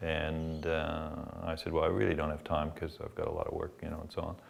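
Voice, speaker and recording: A man speaks at a fairly quick pace with a Canadian accent. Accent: Canadian accent noticeable in Australia. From Canada. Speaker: former club volunteer and parent. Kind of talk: interview testimony. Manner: hesitant, many fillers.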